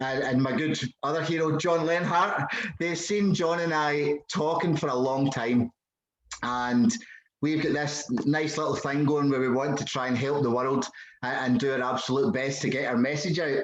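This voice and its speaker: Speaking with a Scottish accent at a moderate pace, a man uses a fairly high pitch with ordinary pitch variation. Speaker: podcast host. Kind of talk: casual conversation.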